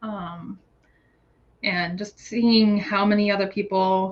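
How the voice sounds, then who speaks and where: Here a woman speaks at a fairly slow pace with an American accent. Her voice is medium in pitch and somewhat breathy. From United States. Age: 30s. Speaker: guest with ADHD, PhD holder. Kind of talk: casual interview chat. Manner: halting, many fillers and restarts.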